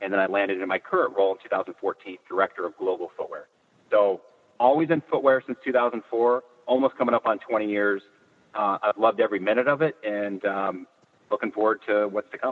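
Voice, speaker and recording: Talking at a fairly quick pace with a Californian accent, the speaker uses ordinary pitch variation. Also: man, medium pitch for a man. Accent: Californian American. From Northern California. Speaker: footwear industry executive. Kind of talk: interview. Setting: in a car. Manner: hesitant, many fillers.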